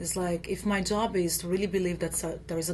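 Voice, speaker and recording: A woman with a Brazilian accent talks at a fairly quick pace, her pitch fairly low with vocal fry. Her pitch varies in an ordinary way. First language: Portuguese. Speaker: actress. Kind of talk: interview. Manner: halting with fillers.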